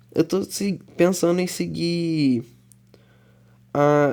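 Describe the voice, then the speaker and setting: With a dark, mellow tone, a man keeps his intonation fairly even. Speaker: gaming YouTuber. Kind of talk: voice-over narration of gameplay. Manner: halting.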